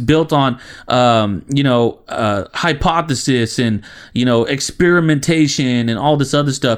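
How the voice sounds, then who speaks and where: This man's voice is fairly high in pitch, with an animated tone, ordinary pitch variation, very even loudness and a moderate pace. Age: 20s. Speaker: podcast co-host. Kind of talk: casual comedic chat. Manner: animated, joking.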